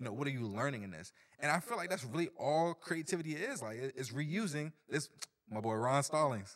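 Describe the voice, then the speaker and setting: A man with an American accent and a plain, everyday voice, fairly high pitch, lively intonation and a fairly quick pace. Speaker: team member helping produce the podcast. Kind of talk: casual chat.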